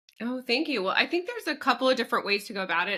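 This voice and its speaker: A woman talks over noticeable background noise. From France, then United States. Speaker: psychic medium and entertainer. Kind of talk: podcast interview.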